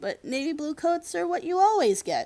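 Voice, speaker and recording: A squeaky, high-pitched, put-on character voice swings very widely in pitch at a moderate pace. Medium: read story.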